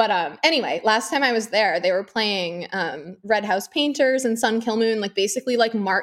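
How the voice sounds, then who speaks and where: A woman's fairly high voice with an American accent and lively intonation, at a moderate pace with hardly any pauses, in a very clean recording with a silent background. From US Northeast. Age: 30s. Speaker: podcast guest, social media user. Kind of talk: casual chat.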